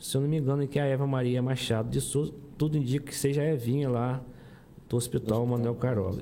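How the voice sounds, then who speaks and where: Audible room echo surrounds a man's medium-pitched voice, which has a dark, mellow tone. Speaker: podcast co-host. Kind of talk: casual interview chat.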